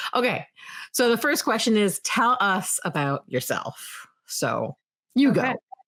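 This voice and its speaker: A woman's fairly high voice with a New Jersey accent, very slow pace, very even loudness, vocal fry, and very wide pitch swings. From New Jersey, US. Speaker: true crime YouTuber. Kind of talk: casual chat.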